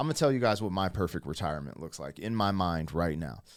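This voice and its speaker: A man speaks in an animated tone with lively intonation. The recording is very clean, with a silent background. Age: 40s. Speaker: YouTube reaction commentator. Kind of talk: casual reaction commentary.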